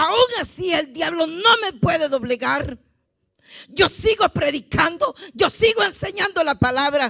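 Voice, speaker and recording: Against a quiet background, a woman speaks in an animated tone at an extremely high pitch. Her pitch swings very widely at a fairly slow pace. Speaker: visiting preacher. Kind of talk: sermon. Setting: church. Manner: animated, fervent, exhorting the congregation. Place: church. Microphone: handheld.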